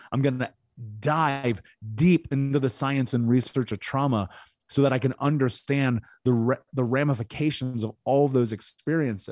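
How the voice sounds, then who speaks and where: In an ordinary speaking voice, a man with an American accent talks at a moderate pace and medium pitch with fairly even intonation, the sound dry and close with no echo against a quiet background. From Indianapolis, US Midwest. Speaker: podcast host and speaker on trauma recovery. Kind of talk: angry rant, confrontational tough-love lecture. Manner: intense, blunt, forceful, cursing.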